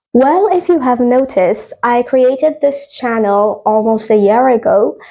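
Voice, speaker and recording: With a non-native accent, a woman speaks at a very slow pace. Her high-pitched voice carries lively intonation. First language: not English. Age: 20s. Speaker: podcast host. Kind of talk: casual podcast monologue. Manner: hesitant, many fillers.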